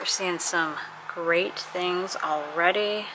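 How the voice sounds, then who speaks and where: The speech unfolds at a fairly slow pace. Background noise is noticeable throughout. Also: woman. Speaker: vlogger. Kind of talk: casual vlog chat. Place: shop.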